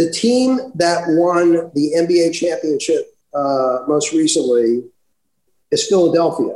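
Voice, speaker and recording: A dark, mellow tone at a very slow pace with lively intonation. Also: man, high pitch for a man. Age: 60s. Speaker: author. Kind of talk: interview.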